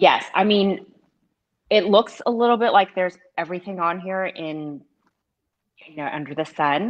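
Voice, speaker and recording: At a moderate pace, a woman with a medium pitch and ordinary pitch variation speaks with long, frequent pauses and big swings in loudness. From Texas. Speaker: food blogger and cheese board maker. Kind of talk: casual live-stream tasting chat. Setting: video call live stream.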